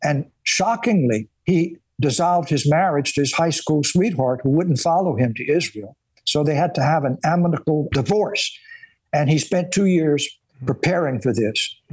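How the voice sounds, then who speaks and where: A man with a Louisiana accent speaks at a fairly high pitch and moderate pace, with lively intonation and very even loudness. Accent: Southern US, Louisiana. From US, South Louisiana. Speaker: historian and author. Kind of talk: interview.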